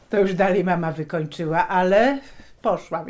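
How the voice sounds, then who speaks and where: In an ordinary speaking voice, a woman talks at medium pitch and a moderate pace with ordinary pitch variation. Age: 60s. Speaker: retired shipyard worker. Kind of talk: oral history interview.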